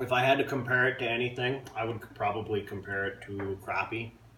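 With light background noise and audible room echo, a man talks in a fairly low voice with fairly even intonation. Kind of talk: casual cooking tutorial. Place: kitchen. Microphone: phone near.

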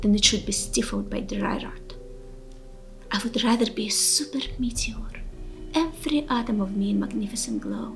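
Faint music plays in the background as a woman talks at a moderate pace with a fairly high pitch. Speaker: poetry reciter. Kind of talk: motivational poem reading. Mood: earnest, inspiring.

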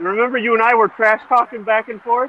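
A man's voice comes through dry with no echo, over light background noise. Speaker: remote podcast guest. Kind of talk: casual group chat. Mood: amused, joking. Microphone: video call.

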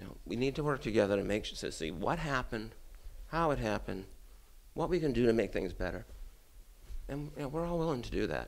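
A man with an American accent and a medium pitch talks at a very fast pace, using very wide pitch swings and vocal fry, with long, frequent pauses. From Brockton, Massachusetts. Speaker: city councilor and political candidate. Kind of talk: campaign interview.

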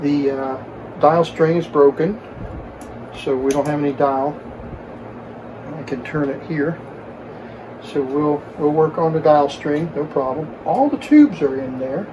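A man speaks in a monotone, flat intonation, leaving long, frequent pauses. There is noticeable background noise. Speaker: radio repair hobbyist. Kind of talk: tutorial. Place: workshop.

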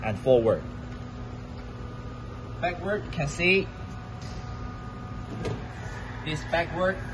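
Over noticeable background noise, a man speaks in a high pitch. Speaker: machinery seller. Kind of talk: tutorial. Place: factory. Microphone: phone near.

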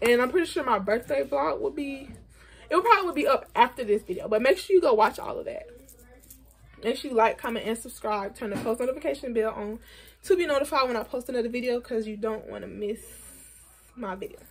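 In a raspy, high-pitched put-on character voice, a woman talks very fast with big swings in loudness. She leaves long, frequent pauses. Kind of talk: casual vlog outro. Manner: talking very fast, rushed.

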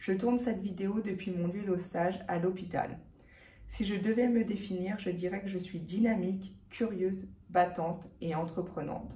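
Her tone dark and mellow, a woman talks at a moderate pace with fairly even intonation. Her voice is somewhat breathy, and there is audible room echo. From France, Haute-Savoie; France. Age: 20s. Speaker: professional cyclist. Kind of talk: sponsorship pitch. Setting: hospital. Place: office. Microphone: phone near.

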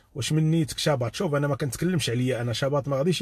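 Somewhat breathy speech with lively intonation, dry with no echo, over a quiet background. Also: man. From Morocco. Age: 40s. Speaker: YouTube live streamer. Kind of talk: live stream commentary. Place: car. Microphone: phone near.

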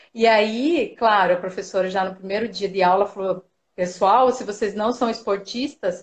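A woman at a moderate pace, fairly high in pitch, with ordinary pitch variation. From Paraná, Brazil. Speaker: sports nutritionist and marathon runner. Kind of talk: live video interview. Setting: video call from home. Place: home room. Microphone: video call.

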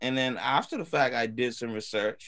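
A man speaks in a normal speaking voice at a medium pitch, with ordinary variation in his pitch. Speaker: student and music producer. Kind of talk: casual chat. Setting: video call.

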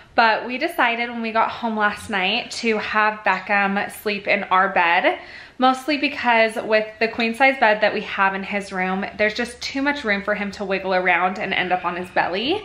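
A woman talks at a moderate pace with hardly any pauses. Her pitch variation is ordinary. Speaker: parent vlogger. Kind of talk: casual vlog chat. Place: home room. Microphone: phone near.

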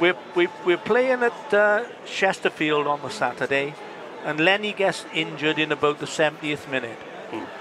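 Noticeable background noise sits behind a man speaking at a moderate pace, and the sound is dry with no echo. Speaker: former footballer; former footballer guest on match commentary. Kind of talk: casual chat. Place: stadium. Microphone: headset.

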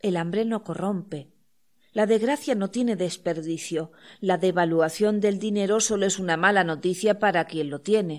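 In a very clean recording with a silent background, a woman uses a normal speaking voice at a medium pitch with ordinary pitch variation. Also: moderate pace. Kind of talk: audiobook reading of poetry and prose.

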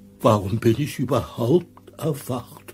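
A man's put-on character voice at a medium pitch, delivered at a fairly slow pace. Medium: audio drama. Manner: whiny, longing.

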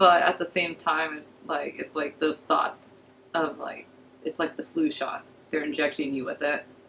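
A woman at a moderate pace over light background noise. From Los Angeles. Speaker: podcast guest. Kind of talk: casual chat. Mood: relaxed, joking. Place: studio. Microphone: studio mic.

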